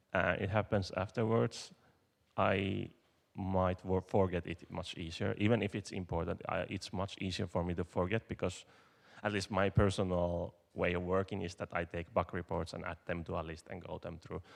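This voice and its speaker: A man speaks with a non-native accent at a very deep, low pitch. His intonation is monotone and flat, and his pace is moderate. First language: not English. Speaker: conference speaker, software developer. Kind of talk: conference Q&A. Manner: halting.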